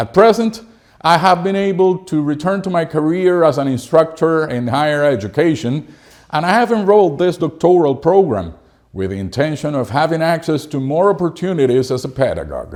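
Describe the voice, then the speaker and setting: With a Spanish accent, a man talks at a fairly quick pace in a fairly high pitch, his intonation lively. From Cuba. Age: 50s. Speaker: English teacher and doctoral student. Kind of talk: reading aloud a personal academic essay. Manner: formal.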